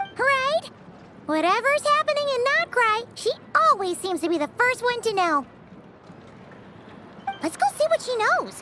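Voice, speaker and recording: An extremely high-pitched, cartoonish character voice moves at a moderate pace with long, frequent pauses. Loud background noise runs underneath. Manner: excitable, chatty.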